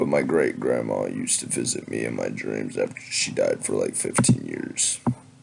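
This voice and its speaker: A man puts on a raspy character voice and talks at a moderate pace with hardly any pauses over light background noise. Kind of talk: scary story narration. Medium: read story. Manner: casual, slightly halting.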